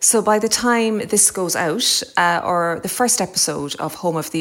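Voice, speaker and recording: A woman with an Irish accent talks at a moderate pace with lively intonation and hardly any pauses. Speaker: podcast host. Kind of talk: interview.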